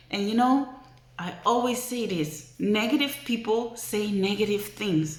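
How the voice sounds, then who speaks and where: Audible room echo and noticeable background noise surround the recording. A woman talks at a fairly slow pace. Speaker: vlogger. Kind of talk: motivational vlog talk. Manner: emotional, earnest.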